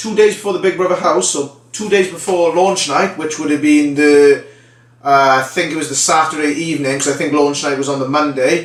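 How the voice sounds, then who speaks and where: A man in a South Wales Valleys accent, fairly high pitch, ordinary pitch variation and a moderate pace, with noticeable background noise. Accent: Welsh (South Wales Valleys), recognisable. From Wales, the Valleys. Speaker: former reality TV contestant, training consultant. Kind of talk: casual vlog storytelling. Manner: conversational, filler-heavy.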